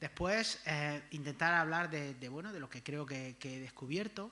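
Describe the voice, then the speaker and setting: Lively intonation fills this man's fairly high voice, in an Andalusian accent. He speaks at a moderate pace. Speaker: history professor. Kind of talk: lecture. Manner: halting, many fillers and repetitions.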